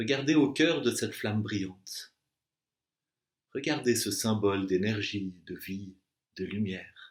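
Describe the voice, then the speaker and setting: A man's very slow, calm, soothing speech with long, frequent pauses, fairly low in pitch with ordinary variation. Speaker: meditation and Yoga Nidra guide. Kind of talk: guided relaxation / Yoga Nidra session. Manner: calm, slow, soothing.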